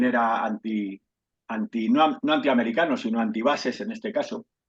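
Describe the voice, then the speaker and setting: A man with a plain, everyday voice speaks at a medium pitch and moderate pace with ordinary pitch variation. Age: 60s. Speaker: historical memory activist, invited speaker. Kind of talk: talk in an online discussion. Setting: video call.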